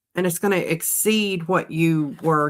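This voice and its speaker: Speaking very slowly, a woman with an American accent has a fairly low pitch. Her pitch variation is ordinary. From Virginia, US South. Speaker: psychic medium. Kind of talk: live-stream psychic reading; casual chat. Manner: hesitant, with fillers and repeats.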